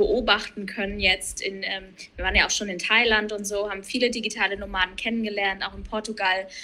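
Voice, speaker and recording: Here a woman talks at a moderate pace with a bright, sharp tone. Her pitch is fairly high and her intonation fairly even. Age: 30s. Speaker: coach, digital nomad. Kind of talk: casual chat.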